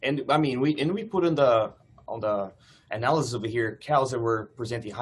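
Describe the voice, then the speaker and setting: A man with a somewhat breathy voice moves at a fairly quick pace, using ordinary pitch variation. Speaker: PhD student presenter. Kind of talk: seminar Q&A.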